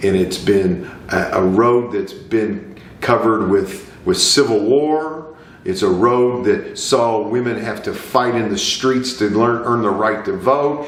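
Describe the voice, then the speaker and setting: Over noticeable background noise, a man talks at a very slow pace. His medium-pitched voice has lively intonation. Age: 50s. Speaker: lawyer sharing personal views. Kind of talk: personal monologue to camera. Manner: earnest, impassioned.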